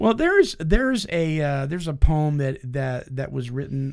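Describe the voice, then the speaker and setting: Speaking at a fairly slow pace with lively intonation, a man has an unremarkable speaking voice. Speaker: radio host. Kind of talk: casual chat. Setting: studio.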